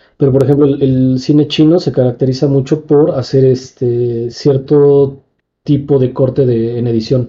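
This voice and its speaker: Somewhat breathy and at a medium pitch, a man speaks fairly slowly in a flat monotone with very even loudness. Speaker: film podcast co-host. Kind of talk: casual chat.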